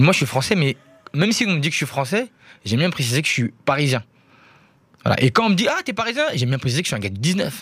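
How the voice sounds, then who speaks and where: A man speaks at a very fast pace with fairly high pitch and very wide pitch swings. He leaves long, frequent pauses. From Paris, 19th arrondissement. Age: 20s. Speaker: rapper. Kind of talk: radio interview.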